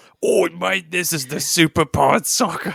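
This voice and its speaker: A man puts on a raspy character voice with an Australian accent, high in pitch and at a moderate pace. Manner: badly done, unconvincing.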